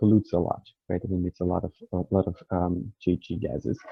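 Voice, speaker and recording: With a Portuguese accent, a man talks at a fairly quick pace. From Brazil. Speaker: researcher panelist. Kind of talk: panel discussion.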